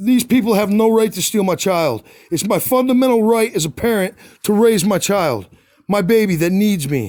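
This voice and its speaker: A man at a high pitch and a fairly quick pace, with lively intonation and a dark, mellow tone. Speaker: father vlogging about custody dispute. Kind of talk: casual video monologue reading paperwork. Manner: loud; halting, many fillers and restarts.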